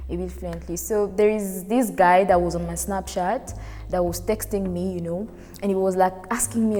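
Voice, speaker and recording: Over noticeable background noise, a woman speaks at a fairly quick pace and medium pitch. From Congo. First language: French. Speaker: guest storyteller. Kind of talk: personal anecdote.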